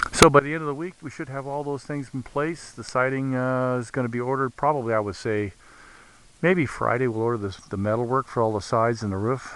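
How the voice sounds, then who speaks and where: This man speaks at a fairly quick pace. His voice sits at medium pitch with ordinary pitch variation. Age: 60s. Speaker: vlogger documenting building project. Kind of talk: casual video update. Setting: outdoors. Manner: halting, with many fillers.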